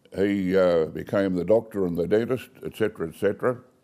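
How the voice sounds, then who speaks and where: A man's fairly low voice with an Australian accent, a dark, mellow tone and fairly even intonation. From Australia, Bowral, New South Wales. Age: 80s+. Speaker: retired family business owner. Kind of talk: life story interview. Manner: casual, with hesitations.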